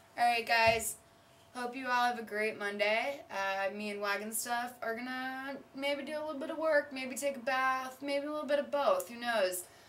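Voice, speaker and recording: The pace is moderate. Loudness swings widely throughout. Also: woman, high pitch for a woman, ordinary pitch variation. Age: 20s. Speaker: vlogger. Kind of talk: casual vlog monologue. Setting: in her bathtub. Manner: animated. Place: bathroom. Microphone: webcam.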